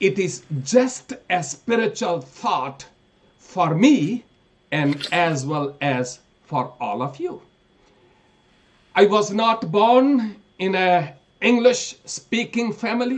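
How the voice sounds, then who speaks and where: Speaking very slowly with long, frequent pauses, a man with a Pakistani accent uses a high pitch and very wide pitch swings. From northern Pakistan. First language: Pahari. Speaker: preacher. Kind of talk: sermon.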